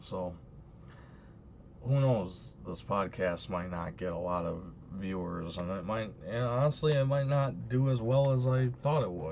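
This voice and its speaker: A man speaks at a moderate pace in a very deep, low pitch that swings very widely. Audible room echo surrounds his voice. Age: 20s. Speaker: YouTuber and podcast host. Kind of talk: solo podcast monologue. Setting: live stream. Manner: halting, many repeats and fillers.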